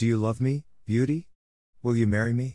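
Using a put-on character voice, a man speaks at a medium pitch. His pace is fairly quick. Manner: gruff, asking.

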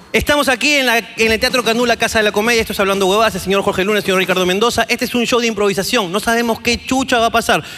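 Over noticeable background noise, a man speaks in a raised, projected, high-pitched voice with an animated tone. He talks at a very fast pace with hardly any pauses. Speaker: comedy podcast host. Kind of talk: live comedy show with audience. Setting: stage with audience.

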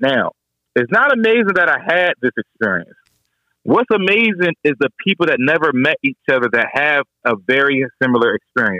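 A man with a DMV accent speaks at a fairly high pitch, with very wide swings in pitch. His loudness stays very even throughout. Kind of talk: casual chat. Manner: fast; repetitive, stumbling.

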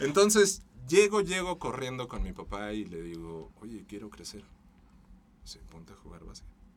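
A man's loudness swings a lot. His pitch moves through very wide swings. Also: moderate pace. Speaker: voice-over artist. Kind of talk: casual chat.

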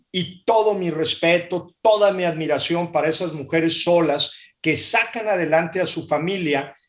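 A man with a high pitch, fairly even intonation and a moderate pace. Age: 50s. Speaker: business executive. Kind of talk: interview.

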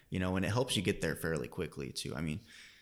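Vocal fry marks a man's very deep, low voice. His intonation is lively. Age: 20s. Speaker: real estate agent. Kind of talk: casual chat.

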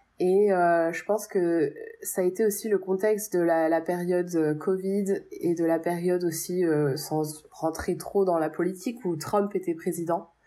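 At a fairly slow pace, a woman with an unremarkable speaking voice talks in a fairly low pitch with fairly even intonation. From Paris, France. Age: 30s. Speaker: French expatriate in the US. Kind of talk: testimony.

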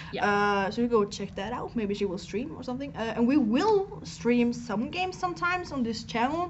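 In a fairly high voice, a woman talks at a moderate pace with hardly any pauses, her animated tone carrying very wide pitch swings amid audible room echo. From Norway. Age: 20s. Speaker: live streamer. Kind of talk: casual chat. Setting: live stream.

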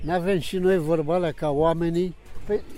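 This man's voice sits high and shows ordinary pitch variation. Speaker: retired chess amateur. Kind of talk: interview. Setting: outdoors.

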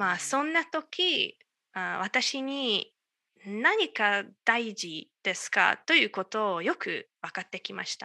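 A woman with a Hungarian accent speaks very slowly in a fairly high, bright, sharp voice, her pitch swinging very widely and her loudness shifting a lot, with a dry, close sound and no echo. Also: quiet background. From Hungary, Budapest area. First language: Hungarian (speaking Japanese). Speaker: astronomer, Japanese learner. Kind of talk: casual interview. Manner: halting.

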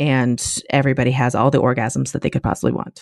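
Against a quiet background, a woman talks at a moderate pace. Her tone is animated. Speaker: podcast host. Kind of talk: casual chat.

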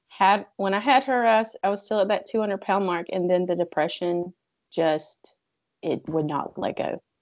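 Against a quiet background, a woman speaks in a plain, everyday voice at medium pitch, with ordinary pitch variation and a moderate pace. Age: 20s. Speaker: keto coach. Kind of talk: casual chat.

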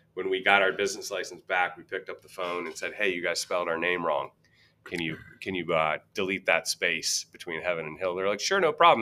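With a bright, sharp tone and a very deep, low pitch, a man talks at a fairly quick pace with ordinary pitch variation. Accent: American. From US East Coast, Virginia. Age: 40s. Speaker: whiskey brand ambassador. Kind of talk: casual chat. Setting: bar venue with co-hosts.

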